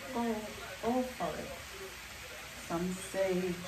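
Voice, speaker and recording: Over noticeable background noise, a woman speaks very slowly. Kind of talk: cooking tutorial. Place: kitchen.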